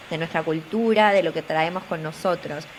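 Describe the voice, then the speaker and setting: A woman with a Buenos Aires accent speaks at a moderate pace, fairly low in pitch with fairly even intonation, over noticeable background noise. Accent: Buenos Aires Argentine. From Argentina, Buenos Aires. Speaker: tech communications professional and career coach. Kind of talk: interview. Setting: studio.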